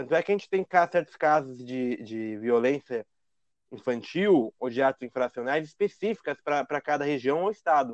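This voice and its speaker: In an ordinary speaking voice, a man with a fairly high pitch talks at a moderate pace with lively intonation, in a dry, close sound with no echo. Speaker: podcast host, lawyer. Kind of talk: casual chat.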